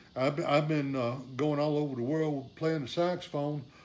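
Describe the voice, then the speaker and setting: In a room with audible echo, a man speaks at medium pitch in a dark, mellow tone. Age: 60s. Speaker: saxophonist and repair teacher. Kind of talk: live stream talk. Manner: casual, many fillers.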